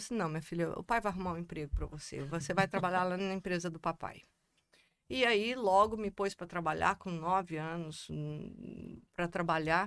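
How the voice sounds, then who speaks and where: A woman speaks with a Goiás accent at medium pitch. Her pace is moderate and her pitch variation ordinary. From Brazil, Goiás (Goiânia). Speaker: economist and constellation coordinator. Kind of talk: casual chat.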